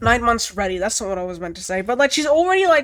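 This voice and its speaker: A woman speaking at a very fast pace. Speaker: movie reviewer. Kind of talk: film review monologue. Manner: rambling, halting.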